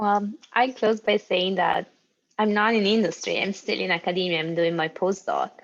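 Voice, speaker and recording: A woman's medium-pitched voice with an Italian accent, at a moderate pace and with fairly even intonation. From Italy. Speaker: postdoctoral researcher. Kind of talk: panel discussion.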